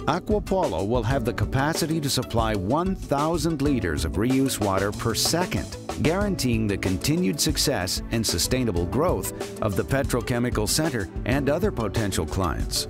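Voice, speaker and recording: Over music in the background, a man with an American accent speaks at a moderate pace with very even loudness and hardly any pauses. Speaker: voice actor. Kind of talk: corporate narration.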